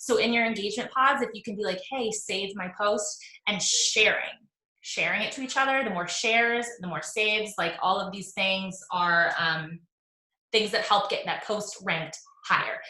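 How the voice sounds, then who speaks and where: A woman's medium-pitched voice, bright and sharp in tone, with ordinary pitch variation and audible room echo. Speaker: online fitness coach and social media trainer. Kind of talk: live video training talk. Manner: fast; casual, filler-heavy.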